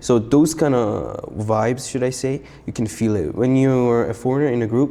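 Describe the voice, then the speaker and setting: A man with a Persian accent talks at a moderate pace and medium pitch, his tone dark and mellow, with ordinary pitch variation. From Iran, then South Korea from age 7. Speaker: freestyle rapper. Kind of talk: casual chat. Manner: casual, with many fillers.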